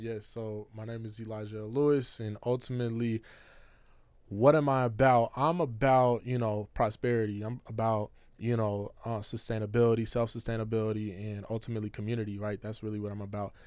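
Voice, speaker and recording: Against a quiet background, a man with an American accent talks at a fairly quick pace and medium pitch, with monotone, flat intonation and big swings in loudness. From Seattle, Washington (South Seattle). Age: 20s. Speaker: community organizer and entrepreneur. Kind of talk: casual interview.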